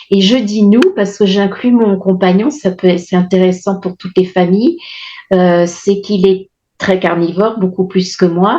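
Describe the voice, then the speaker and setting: At a fairly slow pace, a woman speaks in a dark, mellow tone at medium pitch, with fairly even intonation and very even loudness. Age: 60s. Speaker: testimonial client of a nutrition program. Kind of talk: testimony. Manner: halting, many hesitations.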